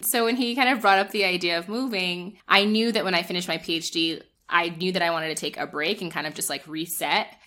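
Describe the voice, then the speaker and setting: A woman with a New Jersey accent speaks at a fairly quick pace. Her tone is bright and sharp. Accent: New Jersey American. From northern New Jersey, US. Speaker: public health scholar and retreat organizer. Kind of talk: interview.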